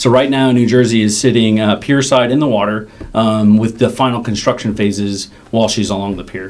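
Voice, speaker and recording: Speaking in an American accent, this man's voice sits at a medium pitch and keeps a fairly even intonation. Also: fairly quick pace. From US Midwest, northern Chicago suburbs. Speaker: submarine commanding officer. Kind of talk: interview.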